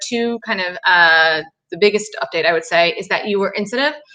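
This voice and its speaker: The pitch swings very widely. The tone is bright and sharp. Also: woman. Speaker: theater awards organizer. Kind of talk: live-streamed announcement. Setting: live stream. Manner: fast.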